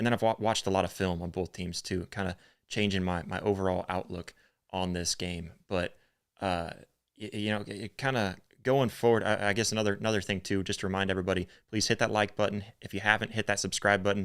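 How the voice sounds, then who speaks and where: Someone with a Northern US accent talks at a very fast pace. The intonation stays monotone and flat. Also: man, fairly low pitch for a man, very clean recording, silent background. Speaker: sports podcast host. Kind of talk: live-streamed sports podcast chat. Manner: halting, many fillers.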